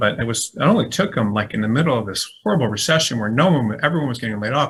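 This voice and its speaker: Very fast in pace, a man speaks at a medium pitch. His pitch variation is ordinary. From US Midwest, Michigan (outside Detroit). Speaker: legal recruiter. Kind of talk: webinar presentation. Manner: animated.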